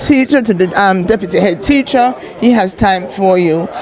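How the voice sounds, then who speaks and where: With crowd noise in the background and audible room echo, a woman speaks at a moderate pace with lively intonation. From Jamaica. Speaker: teacher. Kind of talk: panel discussion. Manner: halting.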